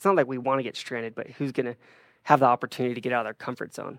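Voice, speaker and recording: Recorded very cleanly against a silent background, a man's voice sounds dry and close with no echo. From Utah. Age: 20s. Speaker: marketing and sales staff at an electric vehicle company. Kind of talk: casual chat.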